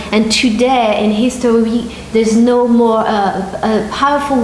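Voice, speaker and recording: Speaking at a moderate pace with a French accent and fairly even intonation, the voice comes through audible room echo and noticeable background noise. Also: woman. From France. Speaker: marketing entrepreneur. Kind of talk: promotional pitch. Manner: halting.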